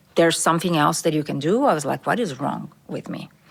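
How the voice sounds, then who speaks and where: A woman is speaking. She has a Brazilian accent. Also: very clean recording, silent background. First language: Portuguese. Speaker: corporate diversity executive. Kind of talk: podcast interview.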